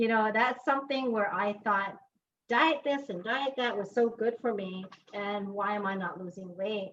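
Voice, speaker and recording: The woman's voice sits at a medium pitch with ordinary pitch variation. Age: 60s. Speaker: alumni network board member leading a cooking class. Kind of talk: casual chat. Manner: animated.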